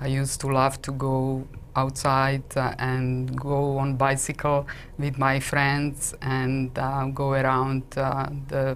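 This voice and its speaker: Speaking with a Slovak accent, a woman talks at a very slow pace. Her very deep, low voice stays monotone and flat. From Slovakia. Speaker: intuitive coach and energy healer. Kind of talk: interview. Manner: hesitant, many fillers.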